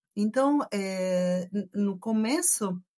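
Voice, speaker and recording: A woman talks with lively intonation at a fairly high pitch, her voice somewhat breathy. The recording is very clean, with a silent background. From Argentina. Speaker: engineering professor. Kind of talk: podcast interview.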